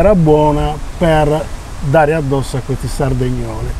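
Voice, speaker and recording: Noticeable background noise and audible room echo fill the clip. The man's delivery is fairly slow. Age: 60s. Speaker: singer-songwriter. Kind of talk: interview.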